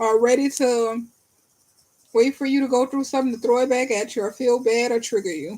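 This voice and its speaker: A woman speaks at a fairly quick pace with a high pitch and fairly even intonation. Her tone is dark and mellow. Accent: New Orleans. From New Orleans, US. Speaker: tarot reader. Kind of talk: live-stream tarot reading and chat with viewers. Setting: live stream from bed. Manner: fast when reading.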